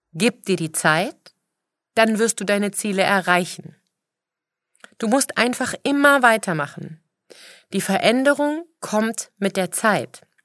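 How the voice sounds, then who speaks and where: Very slowly and with long, frequent pauses, a woman speaks at a medium pitch with lively intonation. The recording is very clean, with a silent background. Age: 40s. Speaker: personal trainer and fitness podcaster. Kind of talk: motivational monologue.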